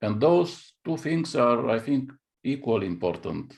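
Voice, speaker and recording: Against a quiet background, a man with a Bulgarian accent speaks at medium pitch with lively intonation. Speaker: chess grandmaster and coach. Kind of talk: interview. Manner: halting.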